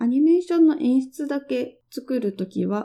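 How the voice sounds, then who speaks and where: A woman's high-pitched voice with a dark, mellow tone and lively intonation. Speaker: designer and podcast host. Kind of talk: solo monologue podcast.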